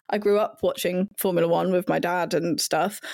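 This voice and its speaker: In a southern English accent, a woman speaks at a moderate pace. The recording is very clean, with a silent background. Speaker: website editor and F1 pundit. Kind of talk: casual chat.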